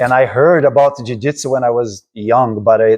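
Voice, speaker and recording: A man speaks with a Brazilian accent. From Brazil, Rio de Janeiro. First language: Portuguese. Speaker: martial arts instructor. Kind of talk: casual interview. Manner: halting, many repeats.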